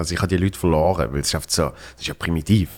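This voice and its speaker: A man talks rather quickly, his pitch shifting in an ordinary way. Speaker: podcast host and comedian. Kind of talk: casual chat.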